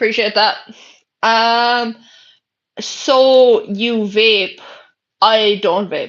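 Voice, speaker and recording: A woman with an Irish accent speaks at a fairly high pitch with ordinary pitch variation. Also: quiet background. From Ireland. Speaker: livestreamer. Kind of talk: casual chat. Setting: bedroom.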